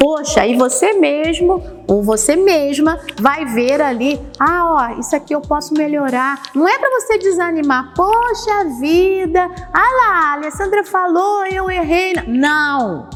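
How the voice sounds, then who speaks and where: The voice moves at a very slow pace with very wide pitch swings. Music plays in the background, and the room echo is audible. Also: woman, extremely high pitch for a woman. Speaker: homiletics teacher. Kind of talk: lecture. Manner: gestures with hands while speaking.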